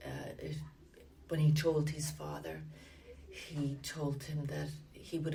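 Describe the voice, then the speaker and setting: With a Limerick accent, a woman speaks at a very slow pace amid audible room echo. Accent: Irish (Limerick). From Ireland (Limerick, southwest). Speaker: church member interviewee. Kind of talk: oral history interview. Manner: hesitant, many fillers.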